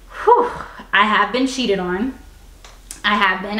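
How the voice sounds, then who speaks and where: Noticeable background noise and an audible room echo around a woman's speech. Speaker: YouTuber, interview guest. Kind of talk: casual interview chat. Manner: loud.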